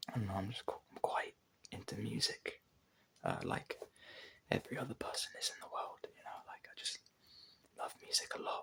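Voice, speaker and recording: A whispering voice moves at a moderate pace, broken by long, frequent pauses. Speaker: ASMR content creator. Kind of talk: ASMR whispered casual talk. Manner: halting, many fillers.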